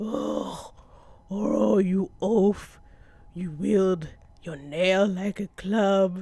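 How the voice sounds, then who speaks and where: In a put-on character voice of middle pitch, the speaker moves at a very slow pace with long, frequent pauses. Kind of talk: archaic, formal. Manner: scolding.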